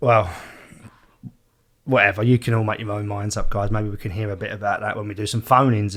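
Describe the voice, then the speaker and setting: In a very clean recording with a silent background, a man talks at a very fast pace with long, frequent pauses, his fairly low voice monotone and flat. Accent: Essex. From East London / Essex border, England. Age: 30s. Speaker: podcast host. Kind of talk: casual chat.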